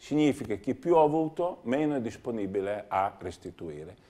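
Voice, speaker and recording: With vocal fry and a dark, mellow tone, a man speaks at a moderate pace in a fairly high pitch. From Romagna, Italy (Cesenatico); Romagna, Italy. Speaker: member of European Parliament, former mayor and dentist; former mayor. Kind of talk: TV interview. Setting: TV studio. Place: studio. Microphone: lapel.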